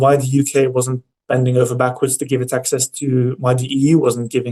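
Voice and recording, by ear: A man talks at a fairly quick pace in a medium pitch. His intonation is monotone and flat, with a slightly mellow tone.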